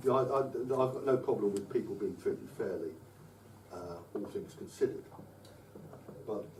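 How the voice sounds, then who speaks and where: A man with an English accent, medium pitch and ordinary pitch variation at a moderate pace, with audible room echo and noticeable background noise. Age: 60s. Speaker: political speaker. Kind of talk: public address. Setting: live talk to audience. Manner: halting, many repetitions.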